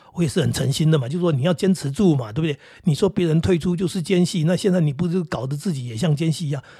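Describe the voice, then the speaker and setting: In a Taiwanese accent, a man with a fairly high pitch and a dark, mellow tone talks at a very fast pace with hardly any pauses. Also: ordinary pitch variation. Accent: Taiwanese Mandarin. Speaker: podcast host. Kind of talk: casual monologue. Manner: many hesitations and fillers; calm.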